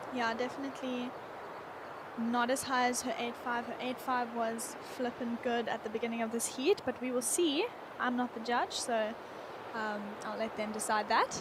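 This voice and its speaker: A woman with a high pitch speaks at a moderate pace, with long, frequent pauses. Noticeable background noise is present. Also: fairly even intonation. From Cape Town, South Africa. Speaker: surf contest co-commentator. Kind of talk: live commentary.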